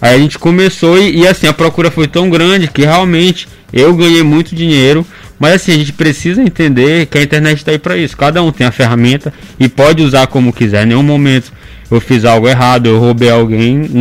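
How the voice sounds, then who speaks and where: A man with fairly high pitch talks in an ordinary speaking voice with ordinary pitch variation and very even loudness. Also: fairly quick pace. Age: 20s. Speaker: anonymous social media news page creator and law student. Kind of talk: radio interview. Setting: radio studio.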